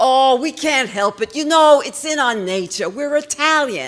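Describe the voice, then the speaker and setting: A woman's put-on character voice, loud, shrill and high-pitched, shouting at a moderate pace with lively intonation. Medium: stage play. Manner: yelling constantly.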